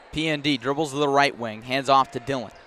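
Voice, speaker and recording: A man speaks at a fairly quick pace in a fairly high pitch, with noticeable background noise behind him. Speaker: sports broadcaster. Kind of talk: radio play-by-play. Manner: fast.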